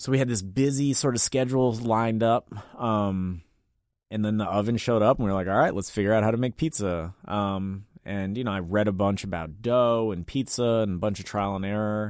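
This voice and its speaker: Speaking with an American accent, a man uses an unremarkable speaking voice at a fairly low pitch and fairly quick pace. His pitch varies in an ordinary way, and the recording is very clean with a silent background. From Washington, DC (Mount Pleasant). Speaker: restaurant owner. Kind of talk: interview. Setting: radio studio.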